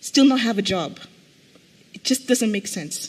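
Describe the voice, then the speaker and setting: Moderate-paced speech from a woman, with noticeable background noise behind. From Mozambique. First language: Portuguese. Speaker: conference panelist. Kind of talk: conference panel talk.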